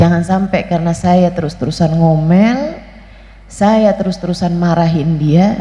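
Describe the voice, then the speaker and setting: At a fairly slow pace, a woman speaks in a fairly low pitch. Noticeable background noise and audible room echo fill the recording. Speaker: female Islamic preacher. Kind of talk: sermon.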